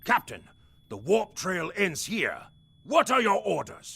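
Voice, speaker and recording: Using a raspy put-on character voice, a man speaks at a high pitch. His pace is fairly slow. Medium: video game. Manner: dutiful, formal.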